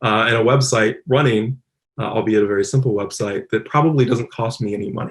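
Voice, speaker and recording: A man speaks at a very fast pace with a medium pitch, ordinary pitch variation, and a somewhat breathy voice. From Louisville, Kentucky. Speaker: robotics engineer, applied scientist. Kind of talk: conference talk. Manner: casual, many filler words.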